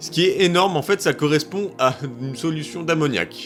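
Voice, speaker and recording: A man is talking, his pitch varying in an ordinary way. Music can be heard behind him. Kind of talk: casual talk to camera. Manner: joking, chatty.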